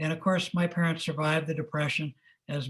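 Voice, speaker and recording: A man's somewhat breathy voice with a General American accent, fairly even intonation and a fairly quick pace, over a quiet background. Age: 70s. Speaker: retired business executive and servant leadership speaker. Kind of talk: interview. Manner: conversational, storytelling.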